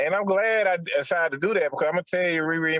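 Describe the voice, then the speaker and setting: Dry and close with no echo, the recording holds a man talking at a very fast pace. His pitch varies in an ordinary way. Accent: Southern US. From Atlanta. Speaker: podcaster. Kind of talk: casual chat.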